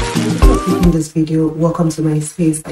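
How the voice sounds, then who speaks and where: Over light background noise and audible room echo, a woman speaks with a very deep, low pitch. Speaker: ASMR creator. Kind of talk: ASMR unboxing haul. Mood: calm, relaxing. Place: home room.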